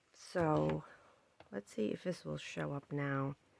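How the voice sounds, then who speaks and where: A woman speaks softly. The sound is dry and close, with no echo. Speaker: crafting youtuber. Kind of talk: tutorial. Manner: soft-spoken.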